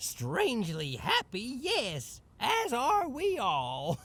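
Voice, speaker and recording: Very slow pacing in a put-on character voice. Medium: video game. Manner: brightly chatty.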